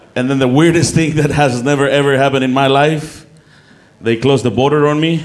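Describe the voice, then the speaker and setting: A man with a Mexican accent at a fairly quick pace, very even in loudness and fairly even in intonation, with audible room echo. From Mexico. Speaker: comedian. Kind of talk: stand-up. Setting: stage with audience. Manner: halting.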